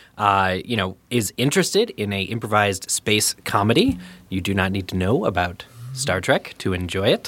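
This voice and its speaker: With a plain, everyday voice, a man talks at a fairly quick pace and fairly low pitch with fairly even intonation, on a very clean recording with a silent background. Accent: American. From eastern Pennsylvania. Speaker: podcaster and editor. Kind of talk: casual chat.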